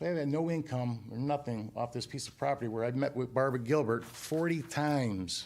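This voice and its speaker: Hardly pausing, a man at medium pitch talks at a fairly quick pace with ordinary pitch variation. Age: 60s. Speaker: property owner. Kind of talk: heated debate. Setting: town committee meeting. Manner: animated.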